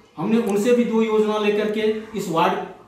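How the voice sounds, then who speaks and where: Recorded with noticeable background noise and audible room echo, a man talks in a high pitch. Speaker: ward councillor candidate. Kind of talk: interview.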